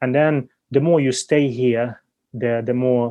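He is a man with a Ukrainian accent and medium pitch. His pace is fairly slow and his intonation fairly even. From Ukraine. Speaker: entrepreneur. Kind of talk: interview.

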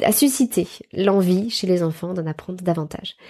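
A dark, mellow tone against a quiet background. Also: woman. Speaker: podcast host, Montessori educator. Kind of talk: casual monologue.

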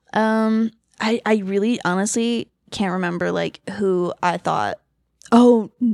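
In an ordinary speaking voice, a woman with an American accent talks at a fairly slow pace and fairly even intonation, the sound dry and close with no echo. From Los Angeles, California. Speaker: event hostess and former film worker. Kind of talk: casual chat. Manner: giggly, filler-heavy.

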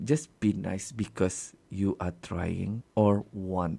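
A man's dark, mellow voice at a very slow pace with ordinary pitch variation. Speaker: podcast host. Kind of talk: solo monologue, casual. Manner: code-switching Malay-English with fillers.

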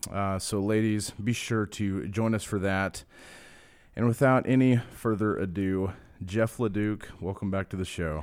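With an American accent, a man speaks at a fairly low pitch and with fairly even intonation on a very clean recording with a silent background. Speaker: associate pastor and podcast host. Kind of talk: casual interview chat. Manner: hesitant, many filler words.

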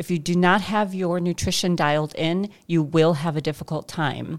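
Speaking with an American accent, a woman has an unremarkable speaking voice at a medium pitch and a moderate pace. The recording is very clean, with a silent background. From Chicago. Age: 40s. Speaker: fitness podcast host. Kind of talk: casual chat.

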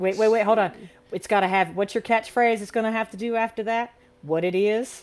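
A woman talks with an ordinary speaking voice at a fairly high pitch. Her pace is fairly quick and her intonation fairly even. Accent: American. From US South, northern Florida. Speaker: podcast host. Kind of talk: casual chat.

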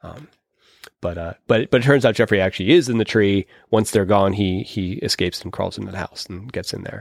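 A man with an American accent and a plain, everyday voice talks at a fairly quick pace in a fairly low pitch, with ordinary pitch variation and big swings in loudness, in a very clean recording with a silent background and a dry, close sound with no echo. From Pittsburgh, US. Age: 40s. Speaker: podcast host, horror film reviewer. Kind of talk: casual chat.

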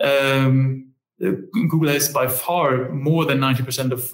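A man speaks at a fairly high pitch in a somewhat breathy voice. His intonation stays fairly even. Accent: German. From Germany. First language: German. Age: 30s. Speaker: company managing director. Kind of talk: interview conversation.

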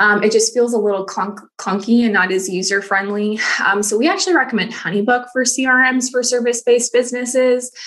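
Against noticeable background noise, a woman with an American accent speaks at a fairly quick pace with hardly any pauses, her fairly high pitch showing ordinary pitch variation and her loudness very even. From US Midwest, rural Missouri. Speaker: systems consultant, online business manager. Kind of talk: podcast interview.

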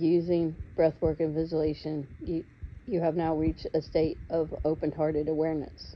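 A woman's very deep, low voice at a moderate pace, flat and monotone in intonation. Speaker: guided meditation leader. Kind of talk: guided meditation. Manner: soft-spoken, gentle.

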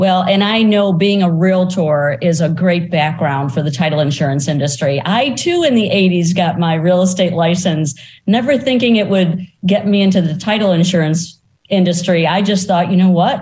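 A woman speaks at a fairly low pitch in a somewhat breathy voice, with ordinary pitch variation and very even loudness. Her pace is moderate, with hardly any pauses. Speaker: podcast host. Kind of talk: casual interview conversation.

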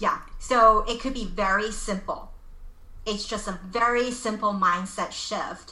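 Speaking in a Californian accent at a fairly slow pace, a woman with a fairly high pitch and a bright, sharp tone keeps her intonation fairly even. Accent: American (California). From Los Angeles, US. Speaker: life coach. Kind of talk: interview.

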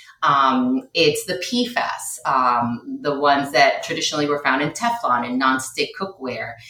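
A woman with a Spanish accent speaks in a very deep, low voice with lively intonation over noticeable background noise. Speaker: low-tox living consultant and educator. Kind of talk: interview, podcast conversation.

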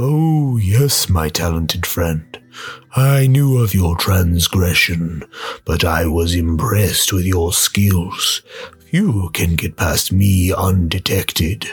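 With music in the background, a man with a very deep, low voice speaks at a very slow pace and very even loudness. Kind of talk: radio play drama. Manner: playful, teasing, menacing.

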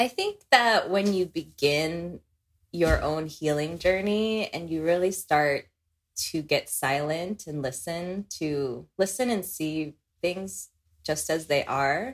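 A woman's fairly low voice with an American accent, at a very slow pace with ordinary pitch variation. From Philippines, then raised in the US from age six. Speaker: healing practitioner. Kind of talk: casual chat. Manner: laughs often.

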